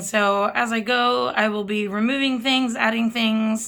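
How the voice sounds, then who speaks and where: A woman's bright, sharp tone. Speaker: planner hobbyist vlogger. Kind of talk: tutorial. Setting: home desk filming rig. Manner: casual.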